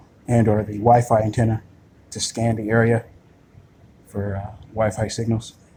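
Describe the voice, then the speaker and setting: In a dark, mellow tone, a man at medium pitch speaks with monotone, flat intonation, somewhat breathy and with long, frequent pauses. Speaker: video blogger. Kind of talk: screen-recorded monologue. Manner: slow; halting, many fillers.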